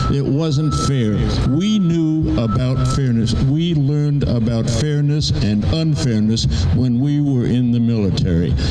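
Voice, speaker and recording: A man speaks at a fairly slow pace with lively intonation and very even loudness. Room echo is audible, and there is noticeable background noise. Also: medium pitch for a man. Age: 80s+. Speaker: army veteran. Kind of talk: rally speech.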